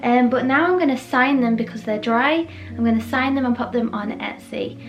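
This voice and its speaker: A woman at a moderate pace with music in the background. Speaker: artist. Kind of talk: casual vlog talk to camera.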